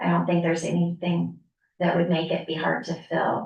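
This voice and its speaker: The voice carries vocal fry and a monotone, flat intonation. Its pace is moderate. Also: woman. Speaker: city staff member answering committee questions. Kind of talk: public meeting.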